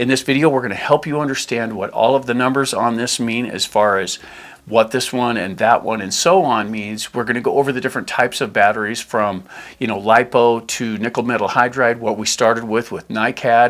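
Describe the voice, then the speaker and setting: An ordinary speaking voice, a man talks at a fairly quick pace and medium pitch with fairly even intonation. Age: 60s. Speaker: RC hobby channel host. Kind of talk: tutorial. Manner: casual.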